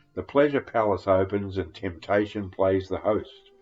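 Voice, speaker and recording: A fairly low-pitched man with a strong Australian accent, music playing in the background. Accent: broad Australian. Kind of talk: poetry reading. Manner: flat, emotionless.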